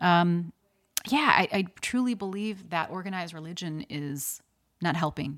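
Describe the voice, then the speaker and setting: A woman with a plain, everyday voice, fairly low in pitch, at a moderate pace, on a very clean recording with a silent background. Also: lively intonation. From US Midwest (Chicago). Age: 40s. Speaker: model, actor and animal activist. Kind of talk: casual interview.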